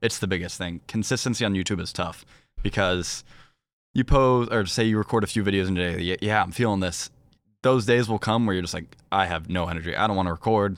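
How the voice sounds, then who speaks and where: In a very clean recording with a silent background, a man with an American accent talks very fast at a fairly low pitch with ordinary pitch variation. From Virginia, US. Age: young. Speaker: professional esports player. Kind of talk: casual chat.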